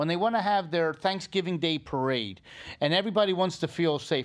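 Against a quiet background, a man speaks at a very fast pace. His voice is high, with ordinary pitch variation. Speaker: podcast co-host. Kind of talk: casual chat.

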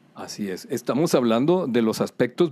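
Speaking at a medium pitch, a man has a dark, mellow tone and very wide pitch swings. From Culiacán, Sinaloa, Mexico. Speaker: piano teacher. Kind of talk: interview.

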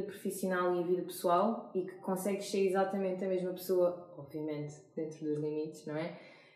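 A woman keeps her intonation fairly even as noticeable background noise and audible room echo surround her. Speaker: corporate podcast host. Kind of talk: interview.

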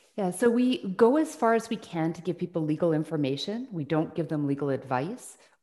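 Speaking with a Western Canadian accent at a fairly quick pace, this voice leaves hardly any pauses. The tone is dark and mellow, and the pitch swings very widely. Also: woman, fairly low pitch for a woman. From British Columbia, Canada (Burnaby, Salt Spring Island). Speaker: tribunal chair and law professor. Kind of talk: interview.

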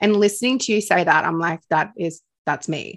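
A woman speaks with an Australian accent. She moves at a fairly quick pace against a quiet background. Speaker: podcast host, spiritual teacher. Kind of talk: casual chat. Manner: animated.

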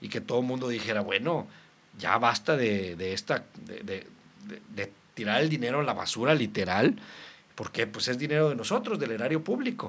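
Lively in intonation, a man of medium pitch talks at a fairly quick pace. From Mexico, Reynosa, Tamaulipas. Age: 30s. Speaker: local politician. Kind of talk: casual interview.

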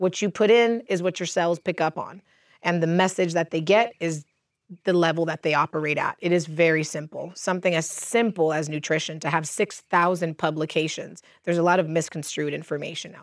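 At a fairly quick pace, a woman with an American accent speaks in an unremarkable speaking voice at a fairly low pitch, with big swings in loudness. The recording is very clean and dry, with a close sound, no echo, and a silent background. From US, Cuban American family. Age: 30s. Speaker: holistic practitioner and coach. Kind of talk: casual chat. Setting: outdoors.

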